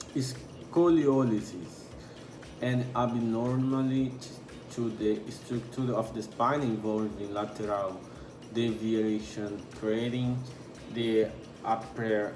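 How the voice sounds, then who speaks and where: With music in the background and audible room echo, a man at medium pitch talks at a very slow pace with fairly even intonation and long, frequent pauses. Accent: non-native. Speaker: anatomy tutor. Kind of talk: tutorial. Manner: halting, stumbles over terms.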